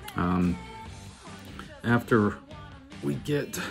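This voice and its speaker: A man's voice with music in the background. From Pittsburgh, Pennsylvania. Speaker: fly tyer. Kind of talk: fly tying tutorial. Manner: casual, relaxed.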